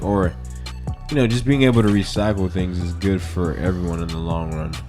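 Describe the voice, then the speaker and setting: Music plays behind a man with an American accent. His very deep, low voice carries lively intonation. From American South.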